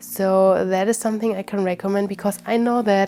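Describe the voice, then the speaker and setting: The speaker has a German accent and a moderate pace. The intonation is monotone and flat. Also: woman. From Germany. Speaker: witchcraft YouTuber. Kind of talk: casual chat.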